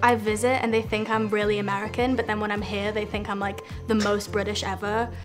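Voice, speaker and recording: A woman is talking very fast. Behind her, clear music can be heard. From born in London. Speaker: dating show contestant. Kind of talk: casual conversation answer. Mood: cheerful, amused. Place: studio.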